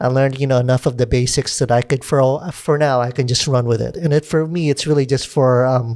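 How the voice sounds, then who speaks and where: A man with an American accent speaks at a fairly quick pace, his pitch fairly high and his tone dark and mellow. His intonation stays fairly even, and the recording is very clean with a silent background. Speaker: podcast host and videographer. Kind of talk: casual chat. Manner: casual, filler-heavy.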